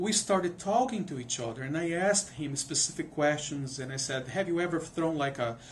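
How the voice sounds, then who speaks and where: A man's voice sits high for him, with lively intonation and a moderate pace. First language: not English. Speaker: music professor. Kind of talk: interview. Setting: studio. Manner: halting, many repetitions.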